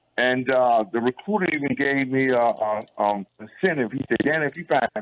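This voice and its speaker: With an East Texas accent, a man speaks at a fairly quick pace and with lively intonation. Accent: East Texas Southern American. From Texarkana, Texas. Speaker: army veteran and radio reporter. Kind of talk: personal storytelling on radio. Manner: casual, animated.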